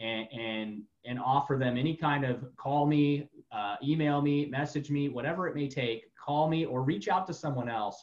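A man with an American accent and a normal speaking voice talks at a moderate pace, his fairly high pitch showing ordinary pitch variation. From Florida. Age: 40s. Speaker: podcast host. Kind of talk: interview.

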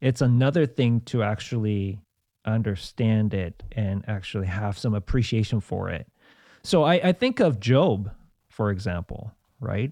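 The sound is dry and close with no echo, over a quiet background. A man with a dark, mellow tone and fairly low pitch speaks at a fairly slow pace. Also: ordinary pitch variation. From South Korea. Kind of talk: casual interview. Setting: studio.

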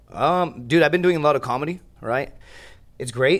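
With an American accent, a man speaks in an ordinary speaking voice at a moderate pace with ordinary pitch variation, on a very clean recording with a silent background. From Laredo, Texas. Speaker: stand-up comedian, podcast guest. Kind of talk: casual, slangy.

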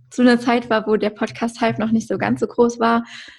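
The voice is somewhat breathy, with monotone, flat intonation. It moves at a moderate pace against a quiet background. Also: woman. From Germany, Westerwald. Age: 20s. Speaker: content creator and entrepreneur. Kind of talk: podcast interview.

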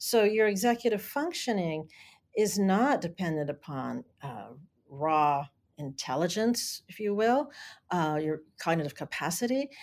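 In a very clean recording with a silent background, a woman at medium pitch speaks at a fairly slow pace with very wide pitch swings and big swings in loudness. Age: 60s. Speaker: learning coach and educator. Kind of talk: interview, explanatory conversation.

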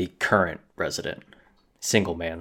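In a very clean recording with a silent background, a man does a put-on character voice with a bright, sharp tone at a moderate pace.

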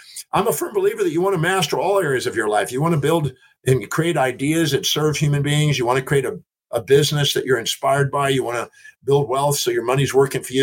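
A man speaks at a fairly quick pace in a fairly high pitch, somewhat breathy. His pitch varies in an ordinary way. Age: 60s. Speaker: human behavior expert and author. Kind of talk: interview conversation. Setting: remote call from a ship.

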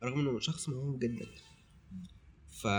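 Somewhat breathy, a man delivers his words at a fairly quick pace. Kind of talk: casual chat.

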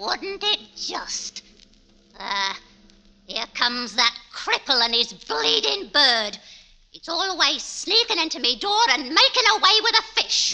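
Using a put-on character voice, a female-sounding speaker goes extremely high in pitch for a woman with very wide pitch swings, moving at a fairly slow pace with long, frequent pauses. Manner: shrewish, snapping, hostile.

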